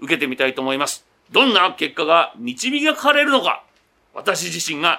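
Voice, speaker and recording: A man speaks with very wide pitch swings. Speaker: radio host. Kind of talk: casual chat. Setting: on location at a golf studio.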